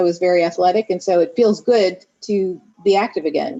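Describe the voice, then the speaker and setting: A woman talks at a fairly slow pace, her medium pitch showing ordinary pitch variation. It is an ordinary speaking voice. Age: 60s. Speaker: network marketing team member. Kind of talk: video call interview.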